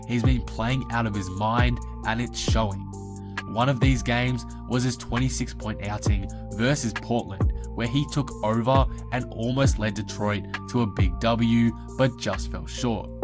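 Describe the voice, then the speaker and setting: Over music in the background, a man talks at a fairly slow pace in a fairly low pitch, his voice making very wide pitch swings. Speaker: NBA YouTuber. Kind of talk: sports commentary narration.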